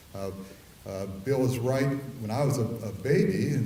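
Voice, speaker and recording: A man with a Midwestern US accent speaks at a moderate pace, with audible room echo and noticeable background noise. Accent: US Midwest. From Ohio. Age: 60s. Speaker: oil and gas industry advocate. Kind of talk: conference talk. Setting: conference hall with audience. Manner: hesitant with frequent uh fillers.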